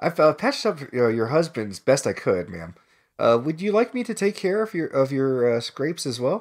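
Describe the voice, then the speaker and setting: This man's fairly high voice moves in very wide pitch swings at a fairly slow pace. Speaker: co-player voicing characters in a visual novel playthrough.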